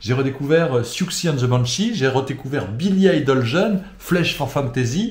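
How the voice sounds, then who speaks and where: In a room with audible echo, a man with a fairly high pitch speaks fairly slowly yet with hardly any pauses, his intonation lively and his tone enthusiastic. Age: 50s. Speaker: interviewer. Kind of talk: interview.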